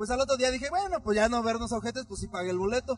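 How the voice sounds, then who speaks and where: Over music in the background, a man talks at a very fast pace in an extremely high pitch, his tone animated and his pitch variation ordinary. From Mexico, Michoacán. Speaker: podcast co-host. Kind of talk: casual chat.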